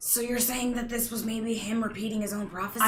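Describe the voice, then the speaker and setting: A woman's put-on character voice, raspy and fairly high-pitched, monotone and flat, at a very fast pace. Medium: actual play. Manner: blunt, casual.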